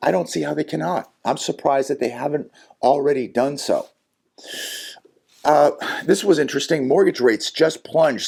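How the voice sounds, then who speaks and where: A man with a fairly high pitch and vocal fry speaks at a moderate pace with ordinary pitch variation. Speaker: economic commentary youtuber. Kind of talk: solo commentary video. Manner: halting, many fillers.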